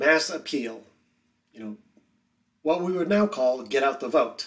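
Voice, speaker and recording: With lively intonation, a man talks at a fairly slow pace. Nothing stirs behind him. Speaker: history teacher. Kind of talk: lecture. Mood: wry, informal. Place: home room.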